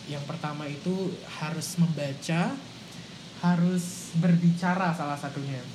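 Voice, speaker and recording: The speech comes at a fairly slow pace with fairly even intonation, with audible room echo and noticeable background noise. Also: man, high pitch for a man. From Samarinda, East Kalimantan, Indonesia. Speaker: university student and public speaker. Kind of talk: casual chat.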